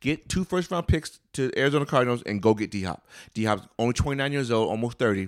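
An animated man at medium pitch, fairly quick, with lively intonation. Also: very clean recording, silent background. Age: 40s. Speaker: podcast co-host. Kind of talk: casual chat.

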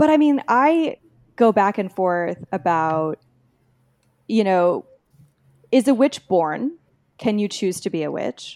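A woman with an American accent talks at a very slow pace with long, frequent pauses and very wide pitch swings, recorded very cleanly against a silent background with a dry, close sound and no echo. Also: medium pitch for a woman. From Texas, near the Mexican border. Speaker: author. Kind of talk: interview.

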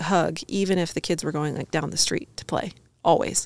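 A woman talks at a moderate pace. There is vocal fry in her voice. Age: 30s. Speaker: entrepreneur and fashion designer. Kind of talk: casual chat.

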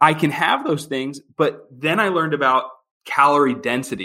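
A man's fairly high, bright and sharp voice in an American accent, with ordinary pitch variation at a moderate pace. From Philadelphia, Pennsylvania. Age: 30s. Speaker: financial services worker. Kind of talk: interview.

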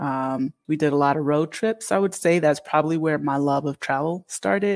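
With a Northeastern US accent, a woman speaks at a very deep, low pitch on a very clean recording with a silent background. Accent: American Northeast. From Connecticut, US, Canadian-born of Jamaican parents. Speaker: expat community founder. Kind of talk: interview.

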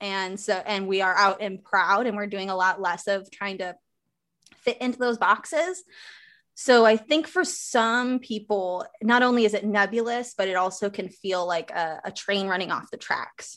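A woman with an American accent speaks in a normal speaking voice at a medium pitch and moderate pace. Her pitch variation is ordinary, and the background is quiet. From rural Wisconsin. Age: 20s. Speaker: self-love coach. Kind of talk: interview.

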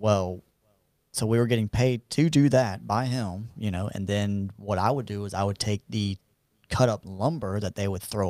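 The recording is very clean, with a silent background and a dry, close sound with no echo. A man with a fairly low voice speaks at a moderate pace with ordinary pitch variation. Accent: Southern US. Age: 30s. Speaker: barber. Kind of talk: casual interview chat.

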